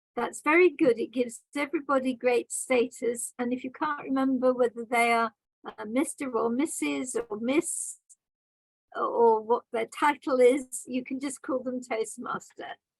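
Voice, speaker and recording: A woman with a British accent speaks at a fairly slow pace in a high voice, with a dry, close sound and no echo. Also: ordinary pitch variation. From Britain. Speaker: grammarian at a speaking club meeting. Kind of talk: meeting evaluation feedback. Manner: formal.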